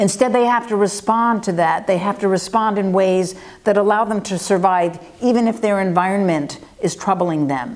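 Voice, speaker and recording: Against noticeable background noise, this woman talks with ordinary pitch variation. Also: medium pitch for a woman. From United States. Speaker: forest ecologist. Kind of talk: interview answers. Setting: interview in Barcelona. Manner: fast.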